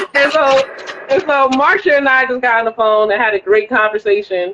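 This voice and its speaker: The speaker talks at a fairly quick pace with a northern US accent. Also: woman. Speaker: women's basketball team owner. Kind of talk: interview conversation. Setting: Instagram live video call.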